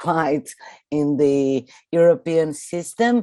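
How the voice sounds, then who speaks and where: A woman in a Brazilian Portuguese accent, her tone dark and mellow. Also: quiet background. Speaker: artist and professor. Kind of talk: conference presentation.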